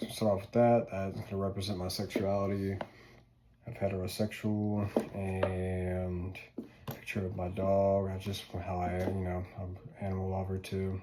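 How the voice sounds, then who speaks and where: A man in a Southern US accent, fairly low-pitched and monotone with flat intonation, over noticeable background noise. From US South, North Louisiana. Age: 20s. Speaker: student. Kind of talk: casual class presentation video. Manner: informal, filler-heavy.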